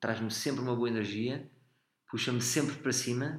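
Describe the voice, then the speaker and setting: A man with a European Portuguese accent speaks with fairly even intonation in a room with audible echo. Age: 30s. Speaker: comedian. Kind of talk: casual chat.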